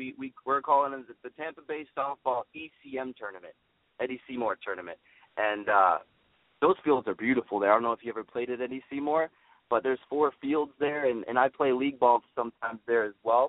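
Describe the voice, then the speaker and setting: With a normal speaking voice, a man talks at a fairly quick pace. His pitch is medium, showing ordinary pitch variation. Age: 20s. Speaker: amateur softball league organizer. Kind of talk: radio interview. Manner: repeats words often.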